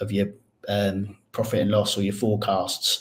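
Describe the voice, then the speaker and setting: A somewhat breathy man. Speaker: accountant. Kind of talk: podcast interview.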